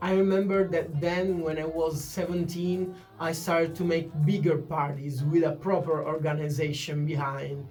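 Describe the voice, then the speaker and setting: Hardly pausing, a man with an Italian accent speaks in a monotone, flat intonation at a fairly high pitch, with noticeable background noise and audible room echo. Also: moderate pace. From northern Italy, Turin. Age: 20s. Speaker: DJ and music producer. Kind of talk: channel introduction. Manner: hesitant, with fillers.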